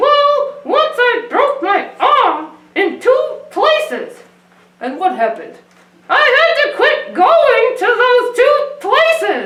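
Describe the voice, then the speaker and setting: A woman puts on a cartoonish character voice at an extremely high pitch with very wide pitch swings. She speaks at a very slow pace with a slight echo. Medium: puppet show. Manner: deadpan, jokey.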